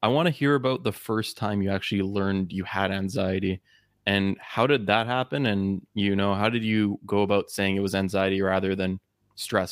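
A man with an ordinary speaking voice and ordinary pitch variation. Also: dry, close sound with no echo. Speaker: podcast host. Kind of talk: casual interview chat. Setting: remote video call.

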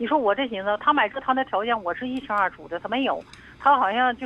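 With an unremarkable speaking voice, a woman talks at a fairly quick pace in a fairly high pitch with ordinary pitch variation. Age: 50s. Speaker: caller. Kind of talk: phone-in advice call.

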